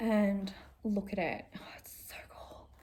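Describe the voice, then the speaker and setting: Her voice has a dark, mellow tone and sits at a medium pitch. The woman sounds somewhat breathy. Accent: Australian. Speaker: cross-stitch vlogger. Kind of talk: casual vlog chat. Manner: filler-heavy, chatty.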